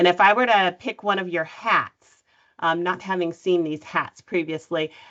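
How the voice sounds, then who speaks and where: Using an ordinary speaking voice, a woman talks at a moderate pace with fairly even intonation. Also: fairly low pitch for a woman. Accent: American. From California, US. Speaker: nonprofit CEO, panelist. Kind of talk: panel discussion introduction. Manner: frequent fillers (um).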